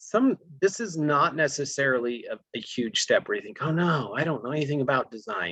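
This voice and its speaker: His intonation has plenty of life. The man keeps a fairly quick pace. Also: fairly high pitch for a man. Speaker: gardening class instructor. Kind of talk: lecture. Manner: fast.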